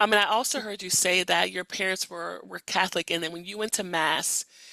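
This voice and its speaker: Speaking at a fairly quick pace, a woman has a medium pitch, vocal fry and a bright, sharp tone. Her intonation is fairly even, and the sound is dry and close with no echo. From Louisiana. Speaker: podcast host. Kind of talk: interview.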